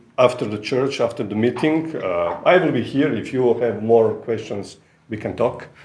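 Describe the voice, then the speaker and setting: A man with a Croatian accent speaks at a medium pitch. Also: ordinary pitch variation, moderate pace. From Croatia, Rijeka. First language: Croatian (speaking Polish). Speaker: visiting preacher, ministry representative. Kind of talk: sermon. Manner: halting.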